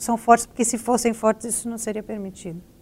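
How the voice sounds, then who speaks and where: Fairly quick and monotone, a woman speaks with fairly high pitch and a bright, sharp tone. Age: 40s. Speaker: investigative journalist, news agency director. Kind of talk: panel discussion.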